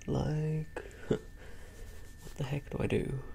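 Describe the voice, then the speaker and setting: A man is whispering. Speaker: content creator. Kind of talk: playful role-play chat to camera. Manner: soft-spoken, hushed close-mic talk. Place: home room.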